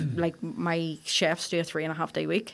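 A woman with a Belfast accent speaks in a fairly low pitch on a very clean recording with a silent background. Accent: Belfast Northern Irish. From Northern Ireland, Belfast. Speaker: chef and restaurant owner. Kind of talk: interview conversation.

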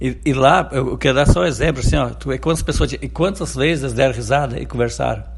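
Behind the voice there is noticeable background noise. The delivery is very fast. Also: man. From Rio Grande do Sul, rural interior. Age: 50s. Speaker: city councillor. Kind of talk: radio interview. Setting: interview outside the studio.

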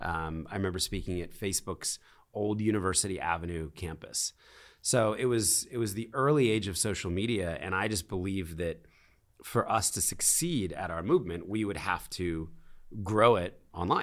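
A man with an American accent speaks in a normal speaking voice, fairly low in pitch, at a moderate pace with ordinary pitch variation. The recording is very clean with a silent background. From US Northeast, Philadelphia. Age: 40s. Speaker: charity founder and CEO. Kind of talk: casual interview. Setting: in person at a conference in Miami.

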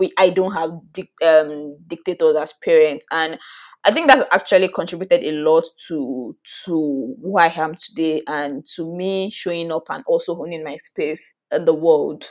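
Against a silent background in a very clean recording, a woman with a fairly low pitch speaks at a moderate pace with fairly even intonation. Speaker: podcast co-host. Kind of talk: casual chat. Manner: relaxed.

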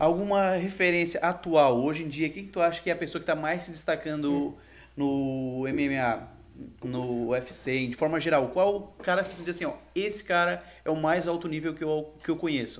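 A man with a fairly high pitch and a Rio accent, at a moderate pace. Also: ordinary pitch variation. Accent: Baixada Fluminense Rio. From Rio de Janeiro, Queimados (Baixada Fluminense). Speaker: podcast host. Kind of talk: casual interview. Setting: live podcast studio.

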